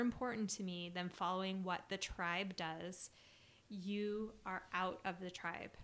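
This woman has an unremarkable speaking voice at a medium pitch, with fairly even intonation and a fairly slow pace. The recording is very clean, with a silent background. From Utah (Salt Lake City). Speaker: podcast co-host, spiritual coach. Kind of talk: casual chat.

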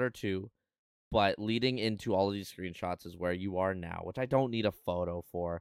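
A man with a plain, everyday voice, lively intonation and moderate pace, on a very clean recording with a silent background and a dry, close sound with no echo. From Canada. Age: 20s. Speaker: podcast host and streamer. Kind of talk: casual chat. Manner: casual.

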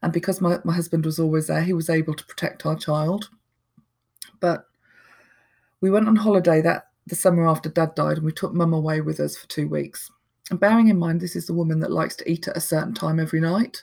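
A somewhat breathy woman's voice, fairly low in pitch, with fairly even intonation at a very fast pace, in a very clean recording with a silent background. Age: 40s. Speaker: person in recovery. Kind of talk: interview testimony.

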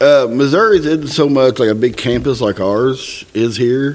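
With ordinary pitch variation and a moderate pace, the man has an ordinary speaking voice. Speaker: podcast host, Freemason. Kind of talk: casual chat.

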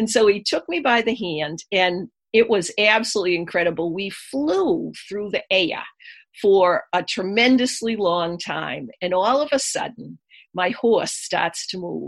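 The delivery is fairly slow, with a lively, up-and-down intonation and a Boston accent. The background stays quiet. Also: woman, medium pitch for a woman. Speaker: energy healer and author. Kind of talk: interview.

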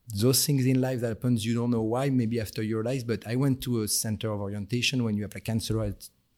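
In a French accent, a man speaks at a medium pitch with ordinary pitch variation. His tone is dark and mellow, on a very clean recording with a silent background. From France. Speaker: senior perfumer guest. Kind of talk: interview conversation. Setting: studio. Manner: hesitant, with fillers.

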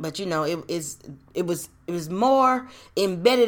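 A woman speaks fairly slowly in a fairly low voice with ordinary pitch variation. The recording is very clean, with a silent background. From US South (Nashville, Tennessee and Roanoke, Virginia). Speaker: podcast host. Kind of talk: personal storytelling monologue. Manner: casual, conversational with many fillers.

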